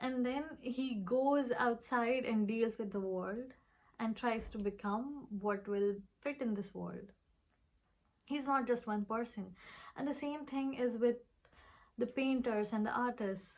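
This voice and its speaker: A woman with a non-native accent and a fairly high pitch speaks at a very slow pace. Her intonation is fairly even, broken by long, frequent pauses. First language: not English. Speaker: vlogger. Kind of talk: reflective monologue.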